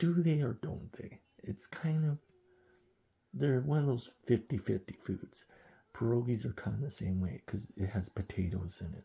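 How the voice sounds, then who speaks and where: A man with an American accent, a dark, mellow tone, lively intonation and a somewhat breathy quality, at a moderate pace. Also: medium pitch for a man. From rural Ontario, Canada. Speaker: vlogger. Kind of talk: casual monologue vlog. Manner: talkative.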